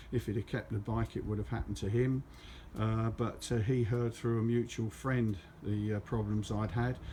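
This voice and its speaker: A man with a southern English accent speaks at a medium pitch in a dark, mellow tone, somewhat breathy. His intonation stays monotone and flat. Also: moderate pace. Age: 70s. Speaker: motorcyclist vlogger. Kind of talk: casual monologue. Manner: halting.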